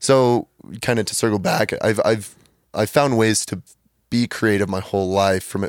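This is an ordinary speaking voice from a man with a fairly low pitch. The sound is dry and close with no echo, on a very clean recording with a silent background. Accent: American. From Utah. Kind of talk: casual chat.

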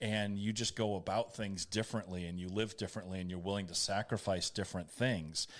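A man with an American accent and an ordinary speaking voice talks at a fairly quick pace with hardly any pauses. His pitch is fairly low, his intonation fairly even, and the recording very clean with a silent background. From New England (Boston-born, family from Maine). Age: 50s. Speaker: radio host and entrepreneur. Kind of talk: casual interview.

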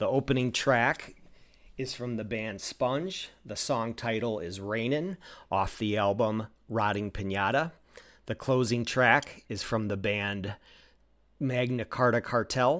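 A man talks at a fairly slow pace in an unremarkable speaking voice. His pitch is medium with ordinary variation, and the recording is very clean with a silent background. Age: 40s. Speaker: podcast host. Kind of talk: scripted narration; interview.

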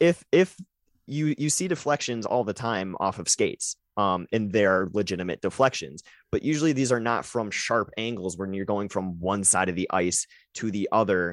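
Here is a man with a normal speaking voice, fairly low in pitch, talking at a moderate pace with lively intonation. The sound is dry and close with no echo, in a very clean recording with a silent background. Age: 20s. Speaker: hockey podcast co-host. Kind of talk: casual chat.

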